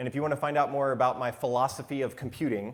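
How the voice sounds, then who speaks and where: A man with an American accent at a very fast pace. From United States. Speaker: conference speaker, software developer. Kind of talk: conference talk. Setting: stage with audience.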